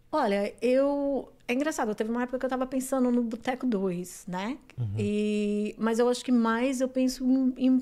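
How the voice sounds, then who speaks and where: Over a very clean recording with a silent background, a woman speaks in a high voice with a dark, mellow tone. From São Paulo, Brazil (grew up in Guarulhos). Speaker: restaurant owner. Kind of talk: casual chat.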